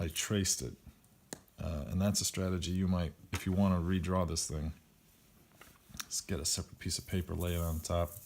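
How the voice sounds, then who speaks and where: A man with a very deep, low voice speaks quietly at a fairly quick pace, leaving long, frequent pauses. His intonation stays fairly even. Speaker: math teacher. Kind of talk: tutorial.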